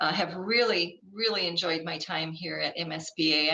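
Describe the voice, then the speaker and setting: A woman's fairly low voice over noticeable background noise. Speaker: workshop presenter, school board consultant. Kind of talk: workshop presentation. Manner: fast.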